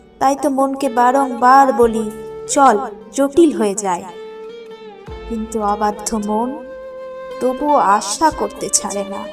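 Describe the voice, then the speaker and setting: With music in the background, the speaker's pitch moves in an ordinary way. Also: woman. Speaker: poetry reciter. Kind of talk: poetry reading.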